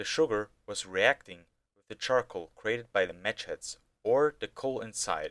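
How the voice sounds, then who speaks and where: A man talks at a fairly slow pace with a non-native accent and ordinary pitch variation. The sound is dry and close, with no echo. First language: not English. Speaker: amateur rocket hobbyist. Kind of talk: video narration.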